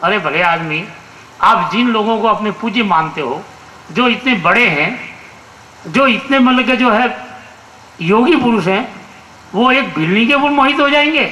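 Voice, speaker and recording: A man with a high pitch uses a raised, projected voice at very even loudness, pausing long and often, with audible room echo and noticeable background noise. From Rajasthan (Marwar), India. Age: 60s. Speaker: conference speaker. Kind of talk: public speech. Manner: halting, frequent restarts.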